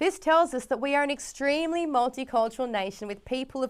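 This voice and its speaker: A woman with an Australian accent talks fairly quickly, with lively intonation and a high pitch. The recording is very clean, with a silent background. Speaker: program presenter. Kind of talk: scripted presenting.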